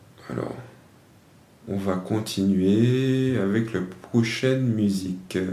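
Delivered at a very slow pace with long, frequent pauses, the speech shows ordinary pitch variation and audible room echo. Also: man, fairly low pitch for a man. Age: 20s. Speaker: discus thrower and podcast host. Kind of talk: solo monologue answering own questions. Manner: hesitant, with many fillers.

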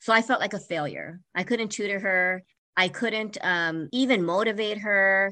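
A woman at medium pitch with a bright, sharp tone, ordinary pitch variation and moderate pace, against a quiet background. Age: 50s. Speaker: life coach. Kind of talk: interview.

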